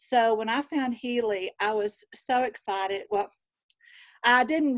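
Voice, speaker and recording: A woman with a Southern US accent and fairly even intonation, on a very clean recording with a silent background and a dry, close sound with no echo. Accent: Southern drawl. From Texas. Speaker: nurse. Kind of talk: casual chat.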